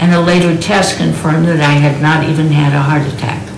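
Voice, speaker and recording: Pitch varies in an ordinary way at a moderate pace. Light background noise and audible room echo are present. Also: woman. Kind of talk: prepared speech introducing a keynote. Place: home room.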